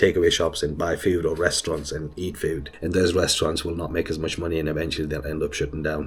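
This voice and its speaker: A man is speaking. His voice is somewhat breathy. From northeast England (arrived from Afghanistan at 13). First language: not English (English is his fifth language). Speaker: YouTuber, business owner. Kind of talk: casual commentary monologue. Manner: hesitant with fillers.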